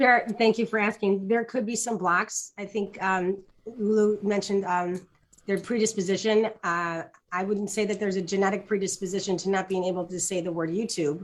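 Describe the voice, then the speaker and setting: A woman's ordinary speaking voice at medium pitch, with fairly even intonation and a moderate pace. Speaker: doctor and leadership speaker. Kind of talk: panel talk answering audience question. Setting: live online talk.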